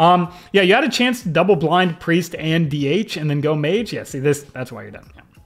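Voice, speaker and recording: The speech comes with an animated tone and lively intonation at a fairly quick pace, hardly any pauses, and music in the background. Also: man, high pitch for a man, big swings in loudness. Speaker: video game coach. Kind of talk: gameplay video review. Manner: abrasive.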